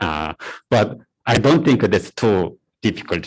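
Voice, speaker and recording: At a moderate pace, a man with a Korean accent speaks with lively intonation. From South Korea. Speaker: university lecturer. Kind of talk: lecture. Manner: halting, many fillers.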